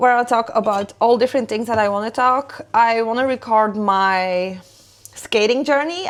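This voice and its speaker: The speaker has a non-native accent and a fairly slow pace. Pitch variation is ordinary. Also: woman. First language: not English. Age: 30s. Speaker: lifestyle vlogger. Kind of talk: casual chat while cooking.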